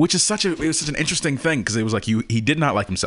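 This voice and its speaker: A man speaks with an American accent. His tone is animated. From Texas. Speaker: actor and standardized patient. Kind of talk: casual chat. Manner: animated, laughs often.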